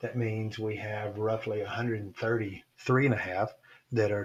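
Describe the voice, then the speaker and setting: Speaking at a moderate pace, a man with a medium-pitched, somewhat breathy voice keeps his intonation fairly even. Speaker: statistics teacher. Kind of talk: lecture.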